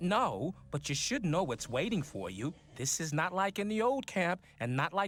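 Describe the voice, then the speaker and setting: A gruff put-on character voice moves at a moderate pace. Its pitch swings very widely. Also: man, high pitch for a man. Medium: video game. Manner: blunt, gruff, swearing.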